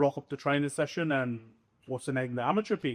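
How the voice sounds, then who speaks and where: In a Dublin accent, a man talks at medium pitch. His pace is very fast. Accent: Irish, Dublin. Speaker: professional rugby league player. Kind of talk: podcast interview. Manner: animated.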